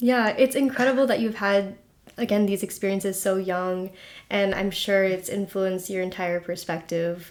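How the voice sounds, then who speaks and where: A woman's voice of medium pitch, an ordinary speaking voice at a moderate pace with fairly even intonation. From US. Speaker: podcast host. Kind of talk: casual podcast interview.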